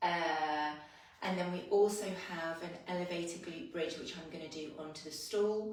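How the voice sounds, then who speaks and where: With audible room echo, a woman delivers her words at a fairly slow pace. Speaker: fitness instructor. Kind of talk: workout class instruction. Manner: soft-spoken; casual.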